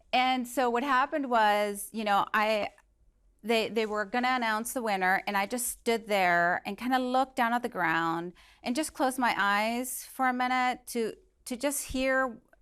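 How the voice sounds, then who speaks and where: In a very clean recording with a silent background, a woman with a Spanish accent speaks at a moderate pace, her pitch fairly high with ordinary variation. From Venezuela. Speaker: motivational speaker. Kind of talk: inspirational talk.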